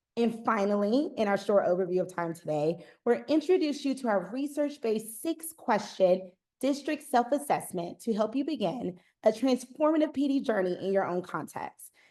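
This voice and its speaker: Her pitch fairly high with very wide swings, a woman with a slight Southern US accent speaks in a dark, mellow tone at a moderate pace. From US South, Eastern North Carolina. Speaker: customer success manager, former principal. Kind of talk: webinar presentation. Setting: online webinar.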